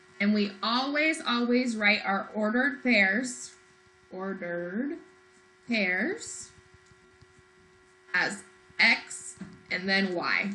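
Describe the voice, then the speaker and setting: Over background music and audible room echo, a woman of medium pitch speaks at a very slow pace with lively intonation and long, frequent pauses. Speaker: math teacher. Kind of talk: lecture.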